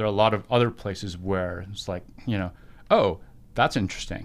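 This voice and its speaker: An ordinary speaking voice from a man, fairly low in pitch with ordinary pitch variation, at a fairly quick pace, on a very clean recording with a silent background. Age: 50s. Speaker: former soldier, civilian professional. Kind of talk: casual chat.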